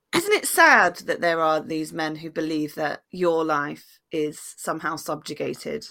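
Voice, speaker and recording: A fairly slow woman's voice with a bright, sharp tone, fairly low pitch and ordinary pitch variation. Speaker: podcast host. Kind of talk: casual chat. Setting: remote recording with headphones. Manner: joking, banter.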